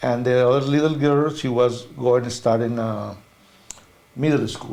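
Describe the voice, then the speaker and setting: A man with a Spanish accent at medium pitch, flat and monotone, with audible room echo. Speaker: veterinarian. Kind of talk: interview. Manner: halting non-native phrasing.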